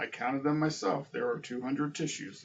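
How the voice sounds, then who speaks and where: Someone talks at a fairly quick clip in a put-on character voice. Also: man, fairly high pitch for a man. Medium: read story. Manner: theatrical, relishing numbers.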